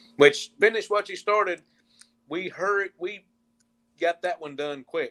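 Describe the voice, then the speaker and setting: With a strong Southern US accent, a man speaks at a moderate pace. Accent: thick Southern country. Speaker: country musician. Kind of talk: interview.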